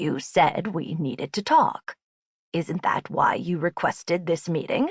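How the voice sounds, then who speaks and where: A woman puts on a character voice pitched fairly low. She speaks at a fairly slow pace. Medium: read story. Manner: lilting, teasing.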